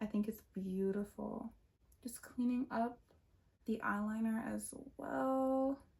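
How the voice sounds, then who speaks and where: A soft-spoken woman talks at a very slow pace, with long, frequent pauses. Her voice is fairly high, somewhat breathy and fairly even in intonation. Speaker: beauty vlogger. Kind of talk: makeup tutorial. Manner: casual.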